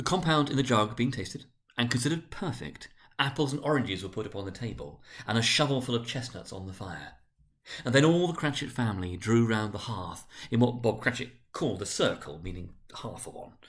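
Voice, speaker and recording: Somewhat breathy, a man at medium pitch speaks at a fairly quick pace, his intonation lively and his loudness swinging widely. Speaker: senior school director reading aloud. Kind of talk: dramatic reading of a classic novel. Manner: narrating, measured storyteller delivery.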